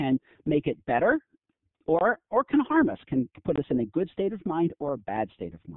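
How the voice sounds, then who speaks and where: A man speaks at a fairly high pitch. His pitch swings very widely. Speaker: professor. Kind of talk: lecture. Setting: online conference webinar. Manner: fast.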